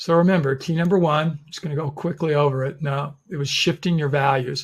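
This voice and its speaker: Fairly quick delivery in an ordinary speaking voice, its intonation fairly even. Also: man. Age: 60s. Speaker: webinar host. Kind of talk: webinar presentation. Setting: online webinar.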